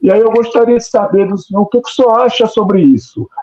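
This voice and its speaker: A man's high voice at a moderate pace. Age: 60s. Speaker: professor, research group member. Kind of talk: audience question in online talk. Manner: halting, with many repetitions; formal and deferential.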